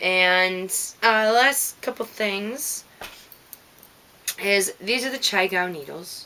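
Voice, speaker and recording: A woman with an American accent speaks at a medium pitch in a bright, sharp tone. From Minnesota. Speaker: knitting podcaster. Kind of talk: casual podcast monologue. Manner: casual, many filler words.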